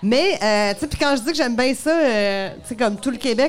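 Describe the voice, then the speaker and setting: A woman's high-pitched voice in a Quebec accent. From Montreal, Quebec. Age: 40s. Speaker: comedian. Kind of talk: live podcast interview. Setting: bar stage with audience.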